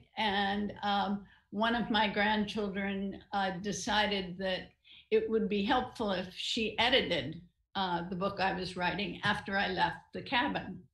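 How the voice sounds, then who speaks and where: A woman with a medium-pitched voice talks at a fairly slow pace and with fairly even intonation, with audible room echo over a quiet background. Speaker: novelist and retired writing professor; retired writing professor. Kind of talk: online interview. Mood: reflective, warm. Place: home room. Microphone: video call.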